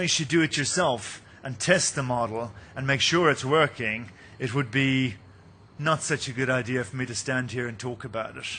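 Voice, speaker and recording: A man with an Irish accent, medium-pitched and bright, sharp in tone, at a moderate pace with ordinary pitch variation. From Ireland, Munster. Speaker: company executive presenting at a mining conference. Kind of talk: conference presentation.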